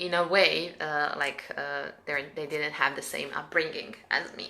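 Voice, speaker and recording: In a Serbian accent, a woman speaks with a bright, sharp tone. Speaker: spiritual coach. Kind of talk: live stream guidance talk. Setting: live stream. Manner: halting, many fillers.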